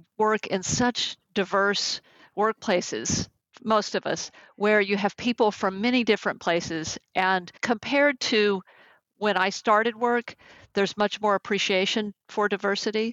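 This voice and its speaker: A woman with an American accent, medium pitch, fairly even intonation, very even loudness and a fairly slow pace. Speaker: executive coach and management consultant. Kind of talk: interview.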